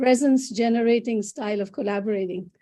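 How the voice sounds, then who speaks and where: A woman with a Bengali accent speaks in a high pitch with a dark, mellow tone. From India. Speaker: psychologist and author. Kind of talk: interview. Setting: video call. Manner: halting. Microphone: laptop.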